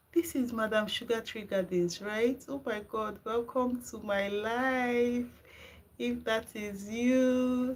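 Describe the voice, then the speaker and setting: A woman with a Nigerian accent speaks at a very slow pace and a fairly high pitch. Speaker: gardening channel host. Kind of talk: live stream chat with viewers. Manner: animated.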